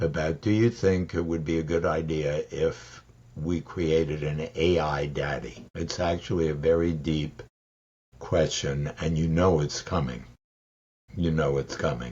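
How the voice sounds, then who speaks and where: A fairly slow pace from a man with a very deep, low voice and ordinary pitch variation. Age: 80s+. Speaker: fatherhood expert. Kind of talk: interview answer.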